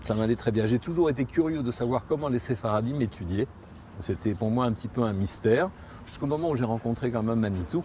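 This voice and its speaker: This man has a medium pitch. His intonation is lively. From Morocco (Tangier). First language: Spanish (speaking French). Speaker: interviewee recounting his emigration to Israel. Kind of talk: interview testimony. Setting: outdoors on a promenade in Jerusalem. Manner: hesitant, with repetitions.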